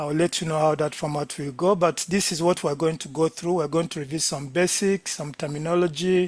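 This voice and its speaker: Here a man talks in a Ugandan accent. His pitch is fairly high and his intonation fairly even. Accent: non-Jamaican accent, Ugandan. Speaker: lecturer, medical doctor. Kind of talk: lecture.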